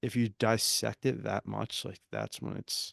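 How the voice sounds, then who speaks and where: The pace here is moderate. It is a man doing the talking. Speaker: podcast co-host. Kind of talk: casual chat. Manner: halting.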